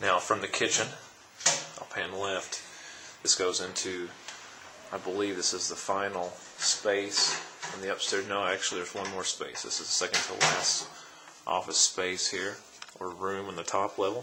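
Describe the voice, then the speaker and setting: With long, frequent pauses, a man speaks in a fairly low, flat monotone over noticeable background noise. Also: moderate pace. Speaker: auctioneer / real estate auction presenter. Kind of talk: real estate property walkthrough narration. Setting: recorded on location at a property, camera tour.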